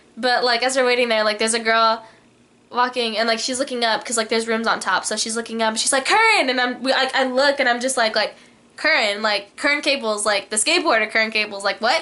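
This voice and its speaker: Her tone animated, a woman talks at a very fast pace with a fairly high pitch. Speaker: vlogger. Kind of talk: casual chat.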